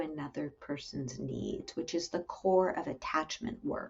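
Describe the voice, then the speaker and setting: A woman is speaking. She is soft-spoken. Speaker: clinical psychologist. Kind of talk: interview.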